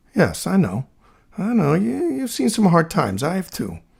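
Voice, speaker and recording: A man with an American accent, vocal fry, and very wide pitch swings. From New Jersey. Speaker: podcast host. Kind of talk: casual monologue.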